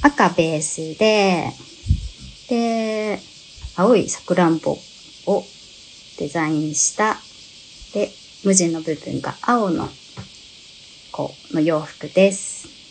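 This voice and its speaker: With long, frequent pauses, a woman speaks at a very slow pace in a fairly low pitch, showing ordinary pitch variation over light background noise. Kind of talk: live stream product presentation. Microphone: phone near.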